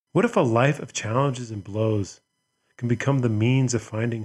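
A man speaks at a moderate pace in a medium pitch, his voice somewhat breathy and his intonation fairly even. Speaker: podcast host. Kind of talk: scripted intro and ad read.

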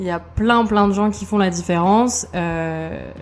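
Her intonation fairly even, a woman with an ordinary speaking voice talks at medium pitch. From France, Burgundy. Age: 20s. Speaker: manager. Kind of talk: casual chat. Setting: at her home.

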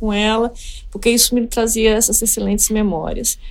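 With a normal speaking voice, a woman talks at a fairly high pitch and a moderate pace. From Espírito Santo, Brazil (Colatina). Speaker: economist, former treasury official. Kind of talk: interview.

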